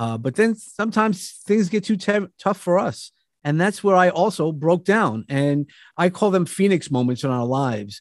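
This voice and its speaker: Speaking with a New York accent, a man uses very wide pitch swings at a moderate pace. The background is quiet, and the sound is dry and close with no echo. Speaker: motivational speaker. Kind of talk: casual chat.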